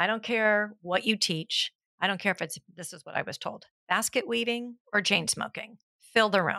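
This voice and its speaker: A woman with a Californian accent, medium pitch and ordinary pitch variation, in a dry, close sound with no echo. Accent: Californian American. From Southern California (South Pasadena). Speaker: fitness instructor and gym owner. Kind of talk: casual interview.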